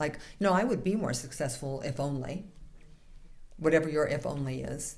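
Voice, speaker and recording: A woman with a very deep, low pitch talks amid audible room echo. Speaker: minister. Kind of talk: sermon. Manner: fast.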